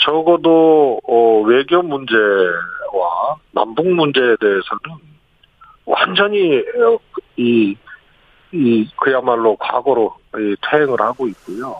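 A man at a medium pitch, with lively intonation and a very slow pace. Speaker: former senior presidential aide. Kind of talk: radio interview. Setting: phone call. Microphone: phone line.

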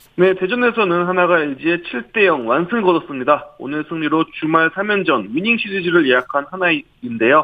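A moderate pace with hardly any pauses. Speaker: baseball journalist. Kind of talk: radio sports news report.

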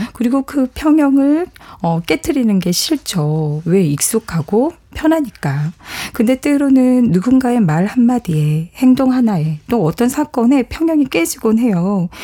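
Fairly slow speech from a woman with a high pitch and very wide pitch swings. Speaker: psychology professor. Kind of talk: radio talk show discussion. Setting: studio.

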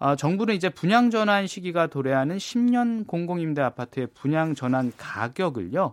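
A man with a high pitch talks at a moderate pace, his pitch swinging very widely. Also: hardly any pauses. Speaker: newspaper reporter. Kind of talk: news briefing interview. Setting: radio studio.

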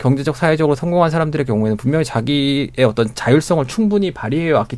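A man is talking at a very fast pace. His intonation is lively. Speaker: newspaper reporter. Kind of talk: radio panel debate. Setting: radio studio.

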